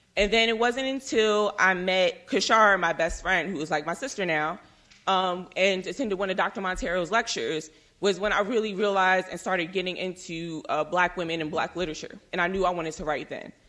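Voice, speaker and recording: The voice has a bright, sharp tone and ordinary pitch variation. It moves at a fairly quick pace. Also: woman, medium pitch for a woman. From US Northeast, Philadelphia. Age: 20s. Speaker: panelist. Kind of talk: panel talk. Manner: fast.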